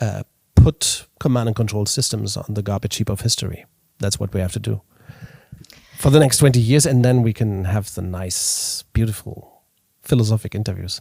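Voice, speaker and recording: The voice is somewhat breathy with a dark, mellow tone, moving at a moderate pace with ordinary pitch variation. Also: man, fairly low pitch for a man. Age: 40s. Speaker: organizational consultant and keynote speaker. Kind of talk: interview. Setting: coworking space. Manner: halting, many restarts and repetitions.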